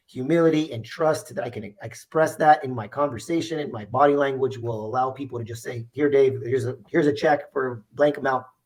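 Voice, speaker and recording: A man's voice sits at a fairly high pitch. His tone is animated, with ordinary pitch variation. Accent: Spanish. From US, Mexican American family. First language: Spanish. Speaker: insurance agency owner. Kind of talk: interview. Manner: animated, repetitive restarts.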